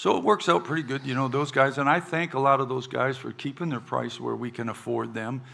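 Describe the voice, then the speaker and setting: With a bright, sharp tone and some vocal fry, a man speaks at a medium pitch and a fairly quick pace with ordinary pitch variation. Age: 70s. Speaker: podcast host and country musician. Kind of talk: casual chat. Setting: stage with audience. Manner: halting.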